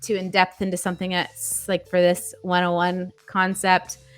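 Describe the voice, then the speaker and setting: A woman speaks with a Canadian accent. Her pace is moderate. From Canada. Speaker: livestream host. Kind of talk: casual livestream chat. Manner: animated.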